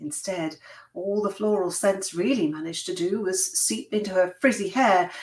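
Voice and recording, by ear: Natural read-aloud voice with lively intonation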